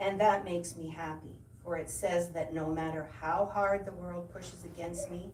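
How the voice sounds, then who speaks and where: Audible room echo surrounds a woman's voice. She speaks at a fairly low pitch and a moderate pace. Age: 70s. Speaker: guest speaker at church service. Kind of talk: personal testimony. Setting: church service. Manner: halting, many fillers and repetitions.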